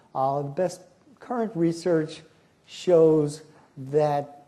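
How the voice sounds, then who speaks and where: In an American accent, a man speaks at a fairly slow pace, his tone dark and mellow. His pitch varies in an ordinary way, and audible room echo fills the recording. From US, New York (Bronx). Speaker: professor, conference keynote speaker. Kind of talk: lecture. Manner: animated.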